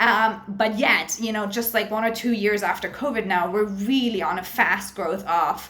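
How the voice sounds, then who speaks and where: With noticeable background noise and audible room echo, a woman talks in an animated tone at a medium pitch. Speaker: university lecturer. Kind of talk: recorded online lecture. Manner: fast.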